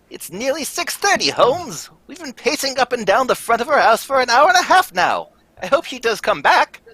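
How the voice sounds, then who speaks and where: A man puts on a character voice, pitched extremely high. He talks at a fairly quick pace with big swings in loudness. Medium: stage play.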